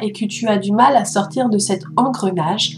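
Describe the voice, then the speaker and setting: Music plays in the background as a woman speaks at a very slow pace with ordinary pitch variation. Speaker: meditation guide. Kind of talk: guided meditation. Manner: soft-spoken.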